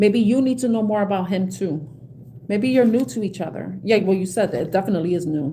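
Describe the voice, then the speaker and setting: This woman speaks with a New York accent at a medium pitch. Her pace is moderate and her intonation lively. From New York City, South Bronx. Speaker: tarot card reader. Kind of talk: live stream tarot reading with chat. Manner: halting, repetitive.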